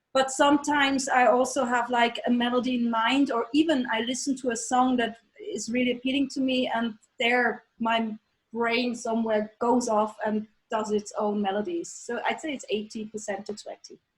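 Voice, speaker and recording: High-pitched female speech with fairly level intonation. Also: moderate pace. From Norway. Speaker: metal singer. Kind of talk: interview. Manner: halting.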